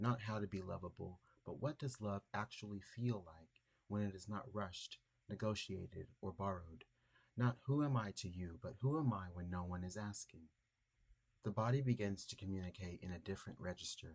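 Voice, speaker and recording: At a moderate pace, a man speaks in a somewhat breathy voice with a fairly low pitch. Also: ordinary pitch variation. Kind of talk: reflective essay reading.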